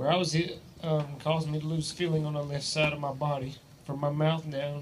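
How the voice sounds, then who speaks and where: A man speaks at a moderate pace in a fairly high pitch with an Appalachian accent, his intonation monotone and flat. Audible room echo and noticeable background noise are present. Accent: Southern US, Appalachian. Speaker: teacher and sports coach. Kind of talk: testimony. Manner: reading from a script, halting with fillers.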